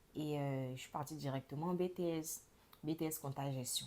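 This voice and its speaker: Here a woman talks at a moderate pace. She uses ordinary pitch variation. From Ivory Coast. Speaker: podcast guest. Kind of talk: testimony. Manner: casual.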